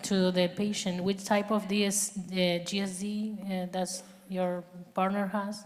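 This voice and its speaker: With a Spanish accent, a woman speaks at a fairly slow pace and medium pitch in a monotone, flat intonation, with audible room echo. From Argentina. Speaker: physician speaker. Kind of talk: Q&A at a conference.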